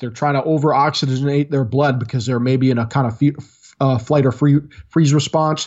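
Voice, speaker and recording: Speaking with an American accent at a fairly quick pace, a man uses fairly high pitch and ordinary pitch variation. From Michigan, small farming town; early childhood in Kuwait. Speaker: former Marine, tactics trainer. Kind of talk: interview. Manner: animated.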